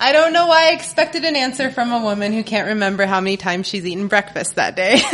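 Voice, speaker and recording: Over noticeable background noise, a woman races along at a very fast pace with hardly any pauses, her fairly high voice swinging very widely in pitch. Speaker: comedian. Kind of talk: live storytelling. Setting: stage with audience.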